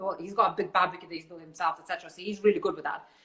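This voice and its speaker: A woman speaks with a Russian accent. Her tone is bright and sharp. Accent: Russian-sounding. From Lithuania (born in Siberia). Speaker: barbecue food business owner. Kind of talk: interview on live stream. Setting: live video stream.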